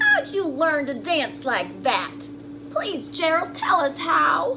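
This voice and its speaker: A woman puts on a character voice at a fairly slow pace. Loud background noise runs behind her. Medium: read story.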